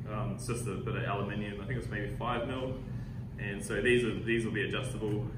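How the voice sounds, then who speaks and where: A man's voice over loud background noise. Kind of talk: tutorial. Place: workshop. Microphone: lapel.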